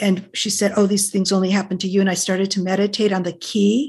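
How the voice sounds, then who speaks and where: A woman speaks at a moderate pace with medium pitch. Her voice is somewhat breathy. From US Pacific Northwest (Portland, Oregon), born in Detroit. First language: Greek. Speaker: author. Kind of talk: podcast interview.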